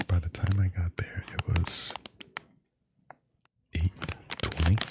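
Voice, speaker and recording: A man's very deep, low, soft-spoken voice, relaxed and monotone, at a very slow pace with long, frequent pauses, in a dry, close sound with no echo. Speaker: ASMR content creator. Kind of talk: ASMR unboxing, casual talk to camera. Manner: soft-spoken, slow, relaxed.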